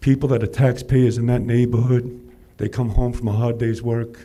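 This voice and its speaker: A man's somewhat breathy, dark, mellow voice at a medium pitch and a fairly quick pace. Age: 60s. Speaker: public commenter. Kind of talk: public comment. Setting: city council meeting. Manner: animated.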